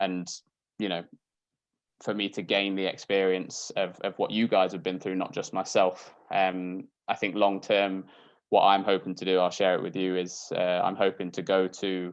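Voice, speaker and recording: Against a quiet background, a man with a Yorkshire accent speaks in a very deep, low pitch and a flat monotone. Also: moderate pace. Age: 20s. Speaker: doctor and Paralympian. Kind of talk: casual talk on a video call. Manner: hesitant, many fillers.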